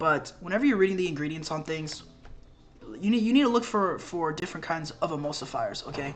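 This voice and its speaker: Noticeable noise sits in the background. The talking goes fairly fast. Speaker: health coach. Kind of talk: informal tutorial. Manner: casual, filler-heavy.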